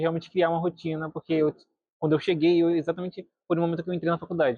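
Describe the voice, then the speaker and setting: This man speaks at a high pitch with a monotone, flat intonation. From Brazil, Recife. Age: 20s. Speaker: university student. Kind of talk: documentary interview.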